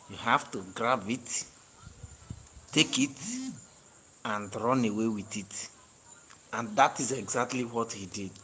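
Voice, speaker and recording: A man's medium-pitched voice at a fairly slow pace, with fairly even intonation, big swings in loudness and long, frequent pauses. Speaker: livestream host. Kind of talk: live stream chat. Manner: soft-spoken.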